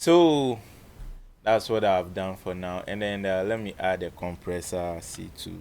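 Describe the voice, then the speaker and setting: On a very clean recording with a silent background, a man with a very deep, low voice talks at a fairly slow pace with ordinary pitch variation. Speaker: music producer tutorial creator. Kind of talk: tutorial. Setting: recording studio. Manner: casual, with frequent hesitations.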